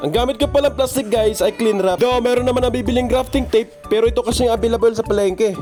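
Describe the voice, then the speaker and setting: A man with an extremely high pitch speaks very fast, with hardly any pauses and very even loudness. His pitch varies in an ordinary way, and music plays in the background. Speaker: stay-at-home father and plant grower. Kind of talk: plant grafting tutorial narration.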